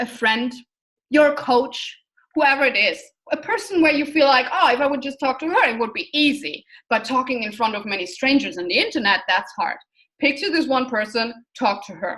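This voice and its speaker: The speaker is a woman with a non-native accent. Her pitch is high. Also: moderate pace. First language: not English. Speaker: online business coach. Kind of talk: online course lecture. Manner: animated; talks with hands, energetic.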